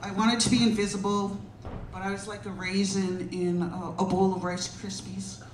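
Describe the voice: In a room with audible echo, a woman speaks at medium pitch and a moderate pace with little pitch movement.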